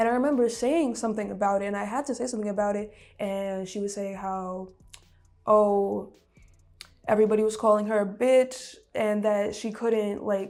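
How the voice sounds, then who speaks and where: Music plays behind a woman speaking at a moderate pace. Her pitch is fairly high and her intonation fairly even. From Brooklyn, New York. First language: Russian. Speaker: musician. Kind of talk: interview. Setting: studio.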